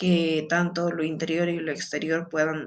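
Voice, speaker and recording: This woman's very deep, low voice moves at a fairly slow pace. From Peru. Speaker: student. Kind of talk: class presentation. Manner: halting, many fillers.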